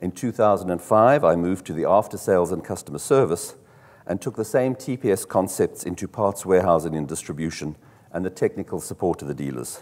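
A man speaks with a very deep, low pitch. His intonation is lively and his pace fairly quick. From South Africa. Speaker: car dealership executive; conference presenter. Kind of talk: conference talk. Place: hall.

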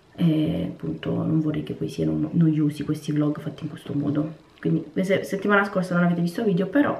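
Audible room echo surrounds a woman's voice. She talks at a moderate pace with lively intonation. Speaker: cooking and lifestyle vlogger; vlogger. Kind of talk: casual vlog chat to camera. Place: home room. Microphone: phone near.

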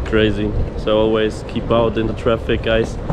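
The speech comes at a fairly slow pace, with noticeable background noise. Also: man. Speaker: travel vlogger. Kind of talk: casual vlog chat. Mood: shaken, recounting accident. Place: street. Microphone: phone near.

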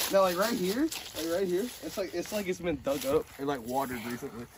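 The speech comes at a very fast pace with lively intonation. Background noise is noticeable. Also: man. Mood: playful, slightly nervous. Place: open country. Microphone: phone near.

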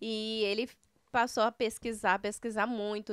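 Over a quiet background, a woman talks fairly slowly in a bright, sharp tone, the sound dry with no echo. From Paraná, Brazil (Maringá); Paraná, Brazil. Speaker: entrepreneur, news site co-owner; news site co-owner. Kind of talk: casual interview. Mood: warm, smiling, animated. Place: studio. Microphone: studio mic.

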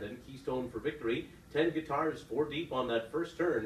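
Light background noise and audible room echo surround a man speaking at a fairly high pitch with ordinary pitch variation. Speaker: horse race caller. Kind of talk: live horse race call. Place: booth.

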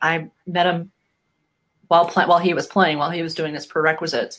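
A woman in a normal speaking voice, fairly low in pitch, with an American accent and fairly even intonation against a quiet background. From US Midwest, Bettendorf, Iowa; Iowa. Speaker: rugby program supporter; interview guest, chiropractor. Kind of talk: casual interview. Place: home room.

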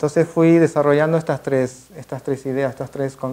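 Speaking at a moderate pace, a man with fairly high pitch has a dark, mellow tone and fairly even intonation. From Argentina, Mar del Plata; Argentina. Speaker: photographer / artist. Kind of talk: masterclass talk. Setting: museum event with audience. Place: classroom. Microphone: podium.

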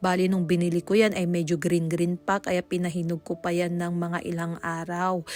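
A woman talks in a monotone, flat way with hardly any pauses. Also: fairly low pitch for a woman, moderate pace. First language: Pangasinan (speaking Tagalog). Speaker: cooking vlogger. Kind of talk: cooking tutorial voice-over. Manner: halting.

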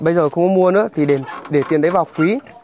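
A man speaks in a high voice. His pitch moves up and down in an ordinary way. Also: dry sound with no echo. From Vietnam. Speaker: charity vlogger. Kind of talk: casual chat. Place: open country.

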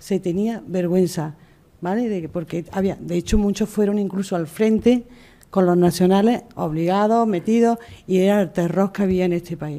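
A woman's dark, mellow tone with fairly even intonation at a moderate pace. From Spain. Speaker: memory movement activist. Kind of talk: testimony. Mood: earnest, emotional testimony. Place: hall. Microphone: podium.

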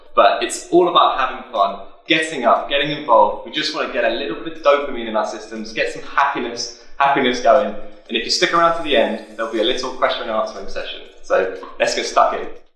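With audible room echo, a man rattles off words at a very fast pace with hardly any pauses. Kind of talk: workout instruction. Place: empty room.

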